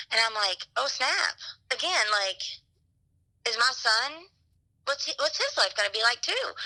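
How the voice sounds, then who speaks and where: A woman speaks loudly at a moderate pace, her high voice bright and sharp in tone with lively intonation. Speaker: teacher, wife of the cyclist. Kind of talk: interview.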